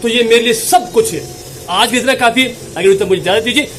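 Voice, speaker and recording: A man shouts loudly at an extremely high pitch. Noticeable background noise can be heard. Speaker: small business advice YouTuber. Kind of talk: motivational business tutorial. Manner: loud, shouting; animated.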